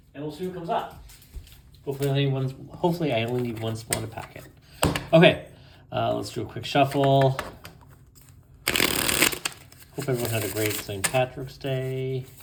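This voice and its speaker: A man speaks at a medium pitch and moderate pace, with ordinary pitch variation. He leaves long, frequent pauses against noticeable background noise. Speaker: tarot reader. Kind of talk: tarot reading. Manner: casual, conversational.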